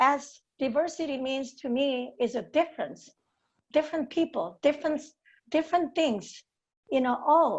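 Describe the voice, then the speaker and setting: A woman with a strong East Asian accent speaks at a moderate pace, high in pitch with ordinary pitch variation, over a quiet background. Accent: heavy non-native accent, East Asian. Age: 60s. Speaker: golf professional. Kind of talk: panel discussion. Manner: halting with hesitations.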